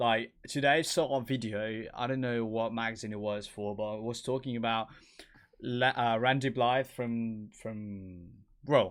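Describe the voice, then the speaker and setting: With a British accent, a man of medium pitch talks at a fairly slow pace with fairly even intonation. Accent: British-sounding English. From Spain. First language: Spanish.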